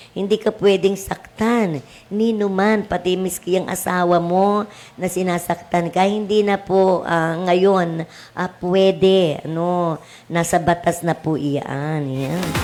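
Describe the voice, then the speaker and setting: Fairly slow and fairly low-pitched, a woman speaks over noticeable background noise. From Cavite, Philippines. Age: old. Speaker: teacher and radio host. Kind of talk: radio talk show advice. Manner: loud.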